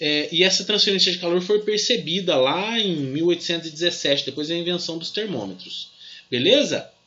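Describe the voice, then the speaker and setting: Amid audible room echo, a man with a high pitch talks at a moderate pace with lively intonation. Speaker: physics teacher. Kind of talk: lecture. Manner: halting, many fillers.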